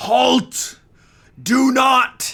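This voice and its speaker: Loud and raspy, this put-on character voice sits at a fairly high pitch. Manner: loud, commanding.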